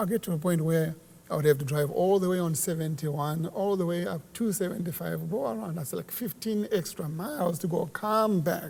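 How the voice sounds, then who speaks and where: A man's high voice with a Zimbabwean accent at a moderate pace, hardly any pauses, and noticeable background noise. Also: ordinary pitch variation. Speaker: church worker. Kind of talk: casual chat. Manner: halting.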